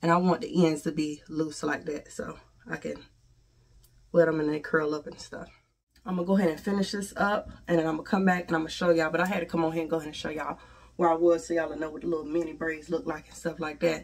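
Speaking at a very fast pace, a woman uses a fairly low pitch and fairly even intonation. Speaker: beauty vlogger; hair vlogger. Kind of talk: tutorial. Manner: casual. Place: home room. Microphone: phone near.

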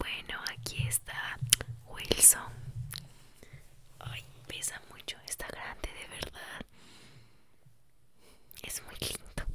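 Soft-spoken and at a very slow pace, a woman talks with long, frequent pauses over loud background noise. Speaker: ASMR-style vlogger. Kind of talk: casual vlog chat. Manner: soft close-mic ASMR voice. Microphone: studio mic.

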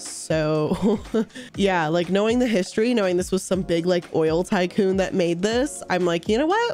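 Over music in the background, a woman speaks at medium pitch and a moderate pace with ordinary pitch variation. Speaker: streamer, YouTuber. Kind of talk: casual livestream reaction commentary.

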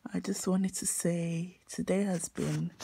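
Noticeable background noise runs through the clip. The speech moves at a fairly slow pace. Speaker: student vlogger. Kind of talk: casual vlog chat. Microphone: phone near.

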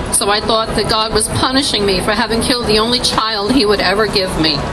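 A woman talks at a moderate speed against loud background noise. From Tennessee. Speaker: abortion testimony speaker. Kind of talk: testimony. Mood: somber, confessional. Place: street. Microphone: handheld.

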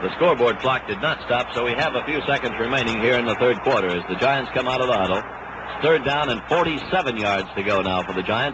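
A man with lively intonation at a fairly quick pace, noticeable background noise behind him. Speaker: radio sports announcer. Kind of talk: 1962 radio sports broadcast, live play-by-play commentary. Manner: brisk, steady, crisp play-by-play delivery; formal, authoritative 1960s broadcaster tone. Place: stadium. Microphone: old recording.

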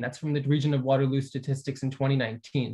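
Against a quiet background, a man talks at a fairly quick pace in a fairly high, somewhat breathy voice. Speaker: community organizer; presenter. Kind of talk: conference presentation. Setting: video call. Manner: animated. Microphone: video call.

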